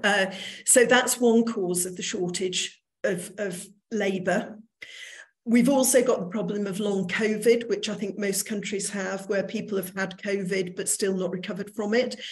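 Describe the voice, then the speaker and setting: A somewhat breathy woman at medium pitch and moderate pace, her intonation fairly even, with audible room echo. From northern England, Manchester. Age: 60s. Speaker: recruitment business owner. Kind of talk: online lecture.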